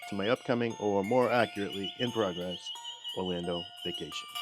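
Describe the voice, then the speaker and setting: A man's moderately paced speech plays out with music in the background. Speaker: podcast host. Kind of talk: solo podcast monologue.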